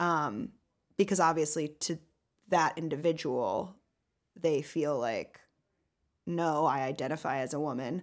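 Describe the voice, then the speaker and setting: With a very deep, low pitch and ordinary pitch variation, a woman speaks at a fairly slow pace with long, frequent pauses in a very clean recording with a silent background. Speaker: podcast co-host giving advice. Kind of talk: casual chat.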